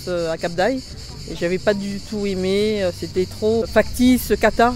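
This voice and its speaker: The speech moves at a very slow pace with ordinary pitch variation. Noticeable background noise is present. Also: woman. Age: 50s. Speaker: self-defense class participant. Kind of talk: testimonial interview.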